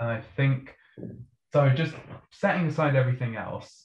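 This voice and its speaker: A somewhat breathy man with a northern English accent, moderate pace and ordinary pitch variation. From northern England. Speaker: PR creative strategist. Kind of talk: panel discussion.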